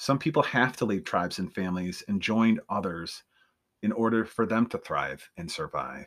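On a very clean recording with a silent background, a man talks at a moderate pace, his medium pitch showing ordinary variation. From upstate New York. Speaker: podcast host. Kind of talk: monologue from prepared notes. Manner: halting, with frequent fillers.

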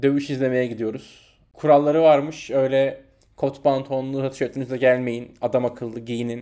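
A man speaks at medium pitch and a moderate pace. His tone is dark and mellow, with monotone, flat intonation. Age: 20s. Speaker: podcast co-host. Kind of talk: casual chat.

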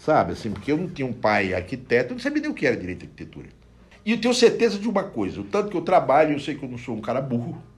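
A man speaks at a very fast pace with a fairly high pitch and vocal fry. His pitch swings very widely, and his loudness swings a lot. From Brazilian Northeast. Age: 60s. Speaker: bookseller. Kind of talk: casual interview.

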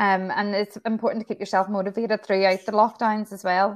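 A woman with a Northern Irish accent, medium pitch and fairly quick pace against a quiet background. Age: 40s. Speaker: hairdresser and salon owner. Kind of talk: casual interview.

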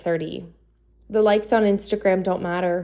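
Her tone is dark and mellow. The woman speaks at a moderate pace in a monotone, flat way. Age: 20s. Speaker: podcast host. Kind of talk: motivational monologue.

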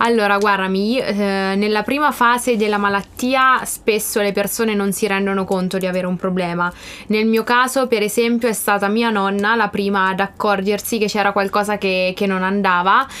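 Fairly even intonation and a medium pitch shape this woman's speech, delivered at a moderate pace. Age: 20s. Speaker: life coach and student. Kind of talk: interview.

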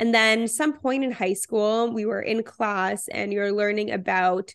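A woman with a Canadian accent, fairly high pitch and fairly even intonation, an unremarkable speaking voice, over a quiet background. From Canada, Toronto. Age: 20s. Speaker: physician and content creator. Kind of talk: casual interview.

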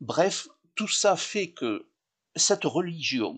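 A man talks with a southern French accent, his pitch swinging very widely. The background is quiet. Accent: southern French, sing-song. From Occitanie, southern France. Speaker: tourism office representative. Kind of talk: interview. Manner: slow.

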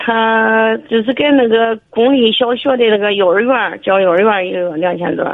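Here a woman speaks at a fairly high pitch. She keeps a moderate pace with ordinary pitch variation. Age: 60s. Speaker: caller. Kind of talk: call-in advice. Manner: halting.

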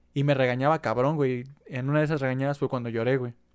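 A man with a Mexican accent, medium-pitched and flat in a monotone, at a fairly quick pace in a dry, close sound with no echo. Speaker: podcast co-host. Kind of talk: casual chat. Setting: at home.

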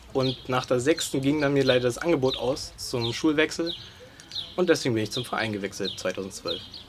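Noticeable background noise surrounds a man speaking at a moderate pace. His voice is medium in pitch with ordinary pitch variation. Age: 20s. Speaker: youth chess coach. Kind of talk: interview. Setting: outdoors.

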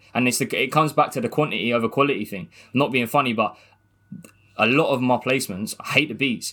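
Over a very clean recording with a silent background, a man with a southern English accent talks at a very fast pace in a medium pitch with a bright, sharp tone. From southern England, Gosport near Portsmouth. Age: 20s. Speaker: music producer. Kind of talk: casual interview chat.

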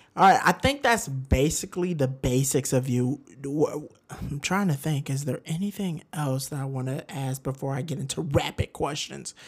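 In an American accent, a man talks at a moderate pace with a fairly high pitch, ordinary pitch variation, a somewhat breathy quality and an animated, playful tone. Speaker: podcast co-host. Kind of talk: casual chat.

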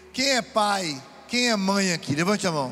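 Heard with audible room echo, a man speaks very slowly in a high pitch. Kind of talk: sermon at a retreat. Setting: event with audience. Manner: animated.

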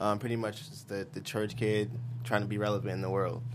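Amid audible room echo, a man with a fairly low pitch talks at a fairly quick pace. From Hollis, Queens, New York. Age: 20s. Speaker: singer and rapper. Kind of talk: casual interview chat.

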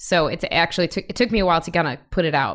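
Against a silent background on a very clean recording, a woman speaks at a fairly low pitch. It is an unremarkable speaking voice with ordinary pitch variation. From US Midwest, Chicago. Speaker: musician and music producer. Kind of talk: casual interview chat.

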